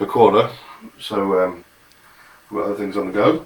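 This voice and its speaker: Amid noticeable background noise, a man mumbles at a moderate pace. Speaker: home cook. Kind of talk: tutorial. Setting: home kitchen. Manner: mumbling; casual.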